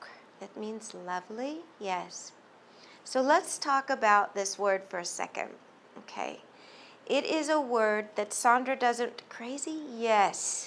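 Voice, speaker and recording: A woman speaks very slowly in a fairly high voice with lively intonation. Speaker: psychic medium. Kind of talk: channeled reading to a live audience. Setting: bookstore event with audience. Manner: halting.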